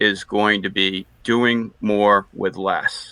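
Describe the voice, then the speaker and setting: With an American accent, a man is talking. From Boston area. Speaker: energy industry panelist. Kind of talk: webinar panel discussion.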